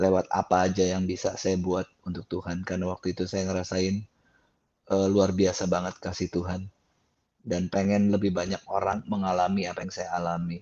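A man with a very deep, low voice speaks at a fairly quick pace in a flat monotone. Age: 50s. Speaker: gospel singer and songwriter. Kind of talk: testimony. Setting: video call.

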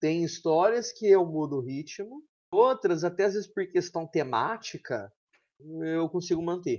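A man speaks at a fairly slow pace in a high voice. His pitch swings very widely. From São Paulo state near Minas Gerais border. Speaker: author and teacher. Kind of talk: interview.

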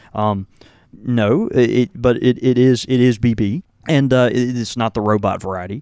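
A man talks at a moderate pace in a plain, everyday voice. His pitch sits at a medium level with ordinary variation. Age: 30s. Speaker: podcast co-host. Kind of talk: casual chat.

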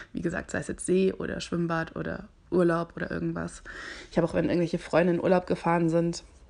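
A woman's fairly low voice carries a dark, mellow tone. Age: 20s. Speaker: podcast host. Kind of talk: casual chat. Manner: animated.

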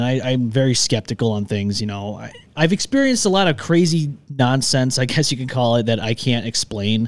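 On a very clean recording with a silent background, a man with a Western New York accent talks at a fairly quick pace and a medium pitch. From Upstate New York (Rochester). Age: 30s. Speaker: podcast host. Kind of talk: casual chat. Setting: studio.

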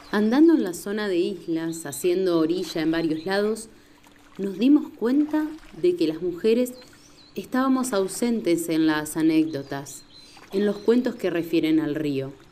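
Over noticeable background noise, a woman with a medium pitch talks at a fairly slow pace with very wide pitch swings. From Entre Ríos, Argentina. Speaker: podcast narrator. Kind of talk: scripted narration.

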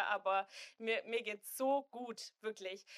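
A woman with a Swabian accent speaks in a bright, sharp tone at a fairly high pitch with ordinary pitch variation, in a dry, close sound with no echo. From Swabia, southern Germany. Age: 20s. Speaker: influencer and student, expectant mother. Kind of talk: casual chat.

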